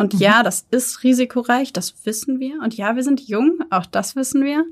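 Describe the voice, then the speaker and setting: A woman has an unremarkable speaking voice. She talks at a fairly slow pace with ordinary pitch variation. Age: 20s. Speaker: startup founder. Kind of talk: interview.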